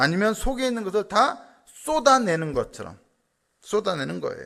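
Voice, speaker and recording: A man with a high pitch sounds animated, his voice swinging very widely. The recording is very clean with a silent background. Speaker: pastor. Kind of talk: sermon.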